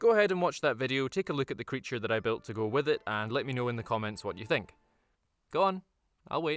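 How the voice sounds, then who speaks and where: A man with a Scottish accent speaks at a very fast pace, medium in pitch with very wide pitch swings. The recording is very clean, with a silent background. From Scotland. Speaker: tabletop gaming YouTuber. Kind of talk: video essay / tutorial.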